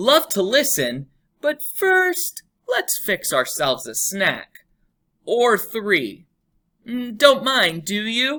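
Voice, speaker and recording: A woman speaks very slowly in a put-on character voice pitched high. The recording is very clean, with a silent background. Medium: read story. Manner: clipped, breezy phrases.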